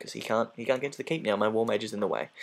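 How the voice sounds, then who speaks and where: A man is speaking. His voice has vocal fry. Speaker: video game let's play commentator. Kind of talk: gameplay commentary. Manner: calm, low-key.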